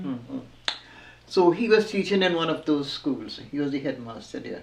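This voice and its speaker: A woman's fairly low voice at a moderate pace, with very wide pitch swings and noticeable background noise. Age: 80s+. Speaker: former dressmaker. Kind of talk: interview answer.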